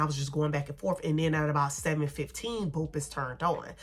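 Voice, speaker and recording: Her voice is very deep and low for a woman, bright and sharp in tone, animated, with ordinary pitch variation. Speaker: beauty and shopping vlogger. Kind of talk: casual haul vlog chat.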